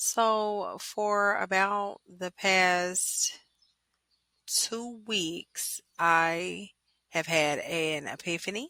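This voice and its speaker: On a very clean recording with a silent background, a woman with a Louisiana accent speaks at fairly low pitch in a bright, sharp tone. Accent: US Southern (Louisiana). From Louisiana, West Monroe. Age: 20s. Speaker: podcaster. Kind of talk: personal monologue podcast.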